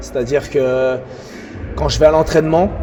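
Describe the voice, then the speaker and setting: A man's moderate-paced speech comes with noticeable background noise. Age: 30s. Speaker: breakdancer and dance teacher. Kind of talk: interview.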